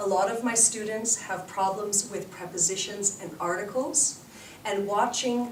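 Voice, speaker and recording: A woman at medium pitch speaks fairly slowly with fairly even intonation, with noticeable background noise and audible room echo. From Canada. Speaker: English teacher. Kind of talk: instructional talk.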